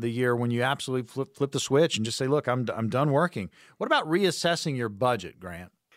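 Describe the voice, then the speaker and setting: A man's plain, everyday voice at medium pitch, fairly quick in pace with ordinary pitch variation, in a very clean recording with a silent background. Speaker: radio host, consumer advocate. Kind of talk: sponsored financial radio show hosting. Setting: studio.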